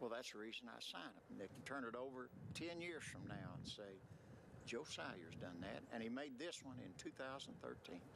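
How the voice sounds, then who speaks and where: A man with an American accent, a medium pitch, very wide pitch swings and a moderate pace. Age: 70s. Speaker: chainsaw woodcarver. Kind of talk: interview.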